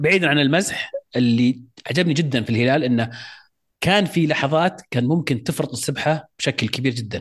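Against a quiet background, a man with a fairly high, somewhat breathy voice speaks at a moderate pace, with ordinary pitch variation and very even loudness. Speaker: football podcast co-host. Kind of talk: casual chat.

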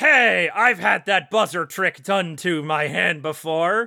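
In a put-on character voice at a middle pitch, the speaker goes at a fairly slow pace on a very clean recording with a silent background. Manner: childish, whiny, simple-minded.

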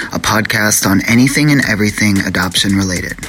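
Over music in the background, a man with a fairly low pitch speaks at a fairly quick pace. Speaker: podcast co-host. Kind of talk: podcast intro and outro.

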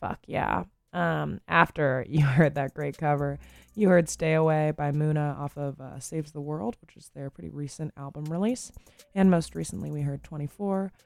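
A woman's very deep, low voice in a relaxed, tired tone, at a moderate pace, with lively intonation and big swings in loudness. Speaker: radio host. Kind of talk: radio dj patter. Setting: radio studio. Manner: relaxed, friendly, low-key; tired, sleepy-sounding, subdued.

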